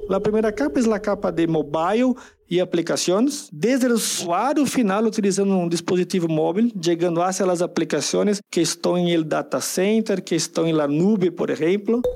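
In a Brazilian accent, a man speaks at a high pitch and moderate pace with very even loudness. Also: ordinary pitch variation. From Brazil, São Paulo. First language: Portuguese (speaking Spanish). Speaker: tech presales manager. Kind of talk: interview.

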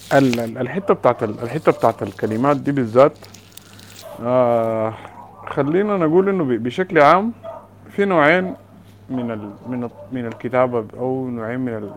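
Noticeable background noise sits behind a man talking fairly slowly at a medium pitch. His intonation is lively, his loudness swings widely, and he makes long, frequent pauses. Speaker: poet taking part in session. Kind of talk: literary discussion. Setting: online call.

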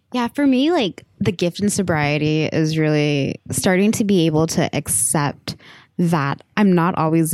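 An unremarkable speaking voice with an American accent, very even loudness, a fairly slow pace and lively intonation. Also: woman. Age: 20s. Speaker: podcast co-host. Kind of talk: casual chat.

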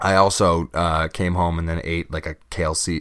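The recording is very clean, with a silent background. A man speaks at a very deep, low pitch. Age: 20s. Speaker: podcast host. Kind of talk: solo podcast monologue. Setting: home studio microphone. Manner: halting.

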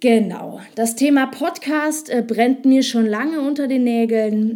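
A woman speaks with fairly even intonation and a fairly high pitch over noticeable background noise. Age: 20s. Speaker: podcaster and ad agency owner. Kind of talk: solo podcast monologue. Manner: hesitant, many fillers.

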